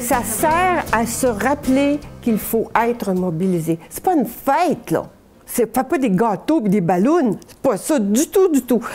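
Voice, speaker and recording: Her pitch is fairly high and swings very widely as this woman speaks at a very slow pace. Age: 70s. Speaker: historian, professor emerita. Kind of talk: interview answer.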